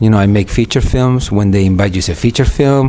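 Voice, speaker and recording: A man's pitch varies in an ordinary way, with noticeable background noise present. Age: 60s. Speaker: film director. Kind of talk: interview. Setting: film festival.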